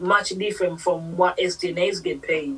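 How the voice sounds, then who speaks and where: A woman speaking at a fairly slow pace against noticeable background noise. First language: not English. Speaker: nurse. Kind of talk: interview.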